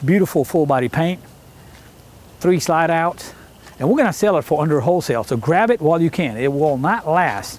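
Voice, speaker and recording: A man speaks fairly quickly. There is no echo, and the sound is dry. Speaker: vehicle salesman. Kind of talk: sales walkaround commentary. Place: street. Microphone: camera far.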